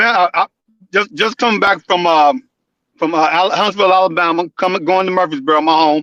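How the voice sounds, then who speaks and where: A man with a Southern US accent talks at a fairly quick pace and a high pitch, with a bright, sharp tone, ordinary pitch variation and very even loudness, recorded dry and close with no echo. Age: 60s. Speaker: caller. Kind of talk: phone call-in. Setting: phone call.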